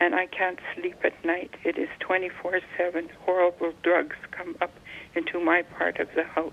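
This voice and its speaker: A woman with a fairly low voice speaks at a fairly slow pace amid noticeable background noise. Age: 70s. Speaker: caller. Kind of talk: call-in question.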